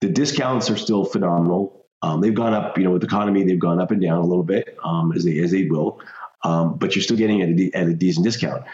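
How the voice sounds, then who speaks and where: Against noticeable background noise, a man with an American accent talks very fast at a very deep, low pitch, with ordinary pitch variation and very even loudness. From Colorado, US. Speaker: mortgage note investor. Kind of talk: interview.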